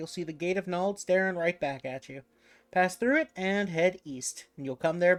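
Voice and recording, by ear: Ordinary pitch variation runs through this reading aloud in a natural voice.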